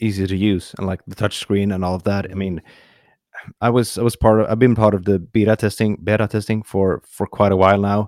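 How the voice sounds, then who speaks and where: In a Swedish accent, a man speaks at a moderate pace with fairly low pitch and monotone, flat intonation. The sound is dry and close, with no echo. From Sweden. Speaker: bass player and YouTuber. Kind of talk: casual chat. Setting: video call.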